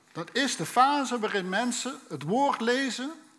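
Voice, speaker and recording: A man with a slight Limburg accent speaks with lively intonation. Audible room echo and noticeable background noise fill the recording. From Limburg, Netherlands. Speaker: preacher. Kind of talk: sermon.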